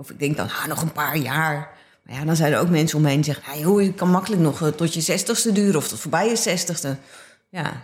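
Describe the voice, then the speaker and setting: A woman's very deep, low voice at a very fast pace, with big swings in loudness and ordinary pitch variation. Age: 50s. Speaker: visual artist. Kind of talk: casual chat. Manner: halting.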